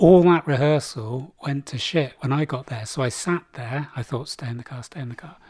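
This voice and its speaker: A somewhat breathy man with an English accent speaks in a fairly high pitch at a moderate pace, with ordinary pitch variation, hardly any pauses and big swings in loudness. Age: 60s. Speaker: podcast co-host. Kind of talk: casual chat.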